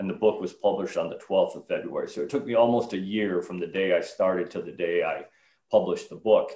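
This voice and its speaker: A man speaks at a very fast pace. His volume rises and falls sharply. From northern Illinois. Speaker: retired army officer and author. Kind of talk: interview.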